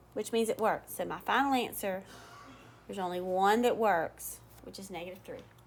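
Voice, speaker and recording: A woman with an unremarkable speaking voice talks at medium pitch and a moderate pace. Her pitch variation is ordinary, while her loudness swings widely. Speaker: math teacher. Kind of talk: tutorial.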